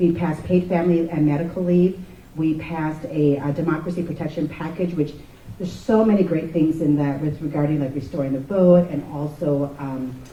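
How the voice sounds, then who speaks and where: Noticeable background noise behind fairly quick speech. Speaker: state legislator. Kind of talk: panel speech. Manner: fast.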